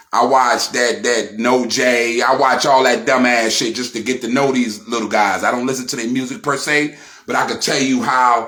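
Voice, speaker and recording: Through noticeable background noise comes a man's voice at a medium pitch. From Brownsville, Brooklyn, New York. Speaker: YouTube commentator. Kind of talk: reaction commentary. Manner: animated.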